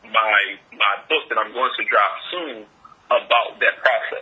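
Noticeable background noise accompanies moderate-paced speech in an American accent. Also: man. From Philadelphia, Pennsylvania. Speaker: author and marketing consultant. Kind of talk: interview. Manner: halting, many fillers.

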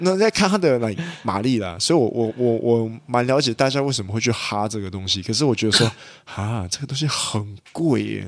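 A man talks at a medium pitch with ordinary pitch variation. It is an unremarkable speaking voice. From Malaysia. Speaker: podcast co-host. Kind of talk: casual chat.

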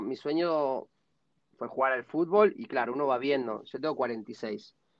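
A man talks with a fairly high pitch. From Argentina. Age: 40s. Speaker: American football player and sports director. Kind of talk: interview.

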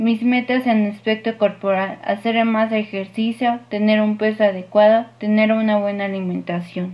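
A woman's fairly high voice with a Mexican accent, monotone and flat, at a fairly slow pace with hardly any pauses. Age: 20s. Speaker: university student. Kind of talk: class presentation.

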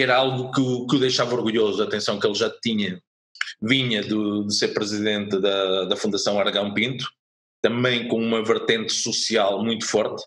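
This man speaks at a moderate pace with a European Portuguese accent. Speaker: former sports club director. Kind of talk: interview.

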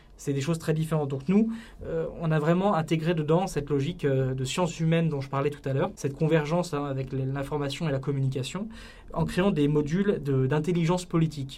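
A man's fairly high voice at a fairly quick pace, intonation fairly even, with audible room echo. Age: 30s. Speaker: political communication entrepreneur. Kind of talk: podcast interview. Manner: hesitant, with frequent fillers and repetitions.

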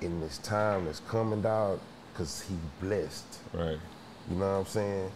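Speech comes at a fairly slow pace with ordinary pitch variation. Audible room echo surrounds the voice. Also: man. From Houston, Texas. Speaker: rapper. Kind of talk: casual chat.

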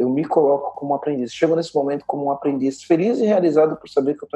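Fairly even intonation carries words delivered at a very fast pace. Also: man. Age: 40s. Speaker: entrepreneur. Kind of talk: interview.

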